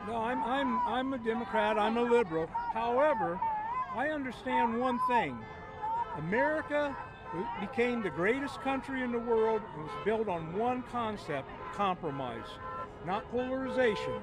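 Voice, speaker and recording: A man speaks at a moderate pace with an extremely high pitch and lively intonation, leaving long, frequent pauses. Music plays in the background, and the room echo is audible. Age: 70s. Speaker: protester interviewed on street. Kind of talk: street interview.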